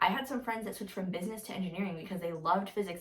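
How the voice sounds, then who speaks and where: A woman at a medium pitch, very fast, with ordinary pitch variation over noticeable background noise. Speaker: college student, vlogger. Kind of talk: casual advice vlog. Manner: casual, filler-heavy.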